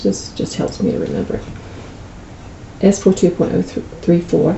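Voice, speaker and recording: There is noticeable background noise as a woman talks at a moderate pace with a fairly low pitch. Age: 60s. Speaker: medical coding instructor. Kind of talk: screen-recorded tutorial. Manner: casual, conversational.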